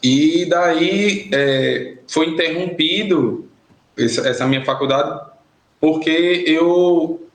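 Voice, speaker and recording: A man with a high pitch talks at a very slow pace, his loudness very even and his pitch variation ordinary. Audible room echo is heard. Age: 30s. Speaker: former prisoner. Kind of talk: podcast interview.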